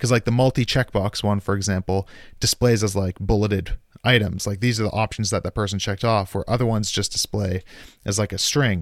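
A normal speaking voice at a fairly quick pace, fairly even intonation, dry and close with no echo, on a very clean recording with a silent background. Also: man, fairly low pitch for a man. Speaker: podcast host. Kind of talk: casual tech interview chat. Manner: casual, conversational.

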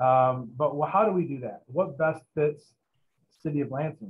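A man with a normal speaking voice, a fairly high pitch and a moderate pace. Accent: American. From Michigan, US. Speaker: police chief. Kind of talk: interview.

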